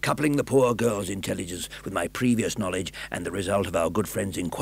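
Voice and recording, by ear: The clip features a passage read aloud in a natural voice.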